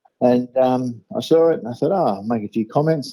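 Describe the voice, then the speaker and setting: A man speaks with an Australian accent at a medium pitch. His tone is dark and mellow. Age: 60s. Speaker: small business owner. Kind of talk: interview answer.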